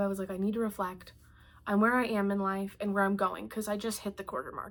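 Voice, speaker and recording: A woman speaks very fast in a flat, monotone delivery at a medium pitch. The recording is very clean, with a silent background. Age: 20s. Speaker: artist and vlogger. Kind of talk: personal vlog monologue. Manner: casual, conversational with fillers.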